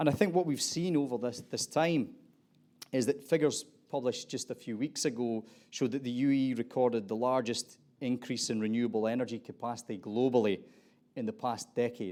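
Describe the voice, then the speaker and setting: A man with an Aberdeen accent, dark and mellow in tone, at a fairly quick pace, on a very clean recording with a silent background. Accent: Aberdeen Scottish. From Scotland, Aberdeen. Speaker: panel moderator. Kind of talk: panel discussion moderation.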